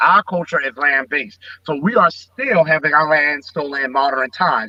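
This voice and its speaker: A man with an American accent talks in an unremarkable speaking voice, fairly high in pitch with ordinary pitch variation, at a moderate pace. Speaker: politician. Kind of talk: interview answer.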